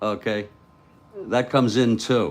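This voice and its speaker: A man talks in a relaxed tone with vocal fry. His pace is fairly slow. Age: 60s. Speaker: tabletop baseball game commentator. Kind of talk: simulated live play-by-play commentary. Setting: home studio. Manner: slow, relaxed pace.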